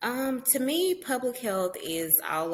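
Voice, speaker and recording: Noticeable background noise sits behind a woman with a Southern US accent whose pitch swings very widely. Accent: Southern US, country. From Southern United States. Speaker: public health entrepreneur and author. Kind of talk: podcast interview answer.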